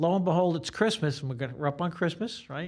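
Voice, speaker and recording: A man with a New York accent is heard on a very clean recording with a silent background. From New York City, Staten Island. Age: 60s. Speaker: guitarist and music teacher. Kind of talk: interview. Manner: talkative.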